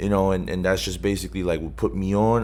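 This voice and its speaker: A man speaks with a very deep, low pitch and vocal fry. Audible room echo surrounds his voice. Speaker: rapper. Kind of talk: interview. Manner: casual.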